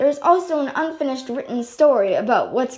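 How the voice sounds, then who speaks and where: A woman speaks loudly at a fairly quick pace. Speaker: amateur animator. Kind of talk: casual vlog update. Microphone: no mic, device built-in.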